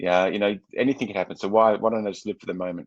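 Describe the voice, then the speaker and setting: With an Australian accent, a man talks at a very fast pace in a fairly low voice, recorded dry and close with no echo. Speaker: psychological coach and psychotherapist. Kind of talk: webinar presentation. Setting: online webinar, seated. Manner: halting, many fillers and repetitions.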